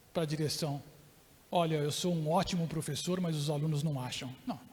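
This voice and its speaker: A man speaks with a high-pitched voice. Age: 60s. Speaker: professor and keynote speaker. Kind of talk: lecture.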